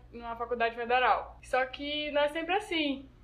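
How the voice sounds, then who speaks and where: A woman speaks at a moderate pace. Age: young. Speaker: guest, recent high school graduate. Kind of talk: casual chat.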